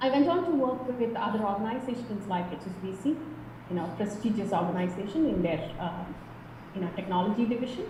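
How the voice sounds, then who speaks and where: A woman's medium-pitched voice with a Kerala accent, lively intonation and a fairly quick pace, amid audible room echo and noticeable background noise. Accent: Indian English (Kerala). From India, Kerala. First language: Malayalam. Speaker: tech professional. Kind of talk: interview.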